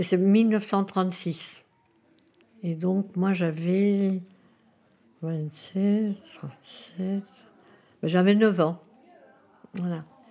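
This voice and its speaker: A woman talks very slowly at a medium pitch, with long, frequent pauses. Her tone is dark and mellow, her intonation flat and monotone. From Spain (Madrid), moved to France at 9. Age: 90s. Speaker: retirement home resident sharing memories. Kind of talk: interview testimony.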